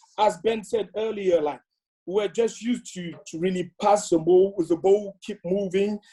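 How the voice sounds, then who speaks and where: A man speaks at a moderate pace in a high pitch. His tone is dark and mellow. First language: French. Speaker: former footballer. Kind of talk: casual reminiscing. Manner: halting.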